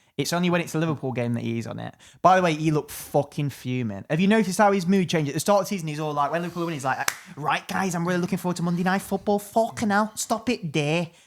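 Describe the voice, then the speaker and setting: Someone with an English accent talks at a very fast pace with ordinary pitch variation in a very clean recording with a silent background. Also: man, high pitch for a man. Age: 20s. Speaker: podcast co-host, comedian. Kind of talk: casual chat. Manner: animated.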